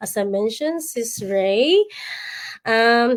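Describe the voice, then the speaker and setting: Very slowly, a woman speaks with a Visayan Filipino accent. Her pitch swings very widely. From Philippines, Visayas (Bisaya). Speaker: livestream host, nurse and online business mentor. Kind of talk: livestream chat.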